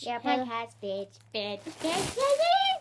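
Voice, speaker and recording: A female-sounding, squeaky put-on character voice with a high pitch speaks at a fairly slow pace. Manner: silly, funny.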